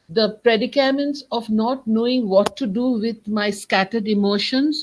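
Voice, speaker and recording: Talking at a moderate pace in a Bengali accent, a woman has a fairly high, somewhat breathy voice with ordinary pitch variation. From India, Kolkata. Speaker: writer and poet. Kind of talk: interview.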